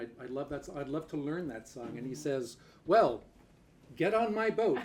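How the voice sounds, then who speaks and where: Speech unfolds at a moderate pace with noticeable background noise behind it. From Newfoundland, Canada. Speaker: folk musician. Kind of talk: stage banter at a house concert. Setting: house concert with audience.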